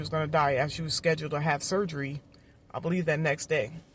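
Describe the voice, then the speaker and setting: Very fast, somewhat breathy speech from a woman with a very deep, low pitch and fairly even intonation. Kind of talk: testimony.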